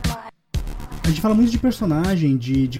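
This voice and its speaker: In a Curitiba accent, a man with a fairly high pitch and a dark, mellow tone speaks somewhat breathily at a moderate pace. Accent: Curitiba accent, rolled R. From Curitiba, southern Brazil. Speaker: podcast host and game master. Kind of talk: casual chat.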